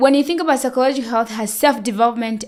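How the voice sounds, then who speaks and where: Loud and high-pitched, a woman's voice fills the clip. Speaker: nurse and sleep educator. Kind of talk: podcast interview. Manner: talkative.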